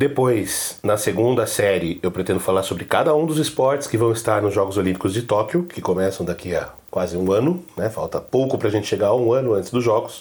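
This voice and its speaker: Over noticeable background noise, a man talks at a fairly quick pace with lively intonation and hardly any pauses. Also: medium pitch for a man. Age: 40s. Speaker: podcast host, journalist and university lecturer. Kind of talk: podcast introduction monologue.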